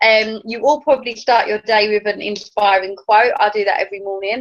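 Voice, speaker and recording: A woman with an English accent, fairly high in pitch, at a fairly quick pace. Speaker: network marketing team leader. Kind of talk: training talk. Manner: fast.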